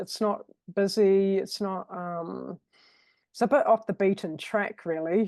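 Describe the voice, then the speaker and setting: A woman with a New Zealand accent, dark and mellow in tone, fairly slow, dry and close with no echo against a quiet background. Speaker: virtual assistant. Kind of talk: casual interview chat.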